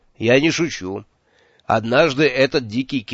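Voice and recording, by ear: Natural read-aloud delivery against a quiet background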